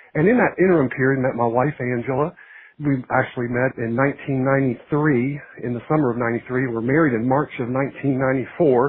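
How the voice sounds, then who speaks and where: With a Virginia accent, a man speaks at medium pitch with fairly even intonation. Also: moderate pace. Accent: Virginia Southern. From Virginia, Shenandoah Valley (Harrisonburg). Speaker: pastor. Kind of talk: testimony. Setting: phone call.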